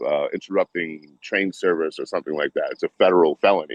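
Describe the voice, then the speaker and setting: A man with a Boston accent talks at a very fast pace. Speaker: train-hopping traveler. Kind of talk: casual live stream chat. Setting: video call. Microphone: streaming through Zoom on laptop.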